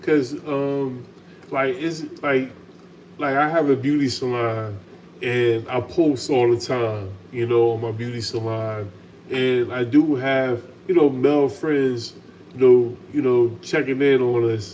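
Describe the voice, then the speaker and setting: Noticeable background noise behind a man's medium-pitched voice, fairly even in intonation, at a very slow pace. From United States. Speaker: channel host, salon owner. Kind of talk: casual chat. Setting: home kitchen, livestream.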